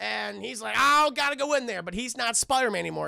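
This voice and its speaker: A man with an American accent raises and projects his voice, animated in tone, with very wide pitch swings. His tone is bright and sharp, and the recording is very clean, with a silent background. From New York. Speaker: streamer and film reviewer. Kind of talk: live stream chat, film review. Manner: repetitive, stammering.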